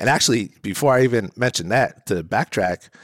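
A man speaks in an ordinary speaking voice at a moderate pace, with ordinary pitch variation. The recording is very clean, with a silent background and a dry, close sound with no echo. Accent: American. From New Jersey. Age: 30s. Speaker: recovering addict sharing faith testimony. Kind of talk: testimony.

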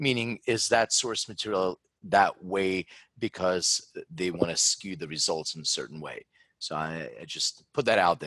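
Dry and close with no echo, the recording has a man speaking at a moderate pace in a very deep, low pitch, with a bright, sharp tone and ordinary pitch variation. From Philadelphia, US. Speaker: genetics company founder. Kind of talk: interview.

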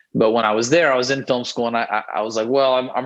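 A man speaks with a Texan accent at a medium pitch. His pace is very fast and his intonation fairly even. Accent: Texan American. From Texas (Houston). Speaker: rock band singer and songwriter. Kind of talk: casual interview chat. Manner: rambling with frequent fillers and repeats.

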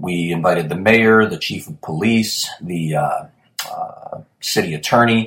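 A man talks at a very slow pace with an American accent. His pitch varies in an ordinary way. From US Midwest, Chicago.

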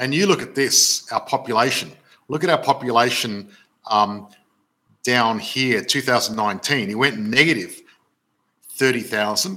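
An animated man with an Australian accent speaks at a fairly slow pace and a medium pitch, with a bright, sharp tone, lively intonation and long, frequent pauses. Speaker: property investment educator and live show host. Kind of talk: live stream webinar.

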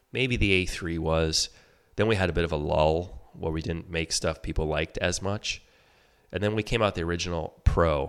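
Against a very clean recording with a silent background, a man speaks at a very deep, low pitch. His pace is moderate and his intonation fairly even. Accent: Michigan. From Michigan, outside Detroit. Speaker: ski company executive and water skier. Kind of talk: casual interview.

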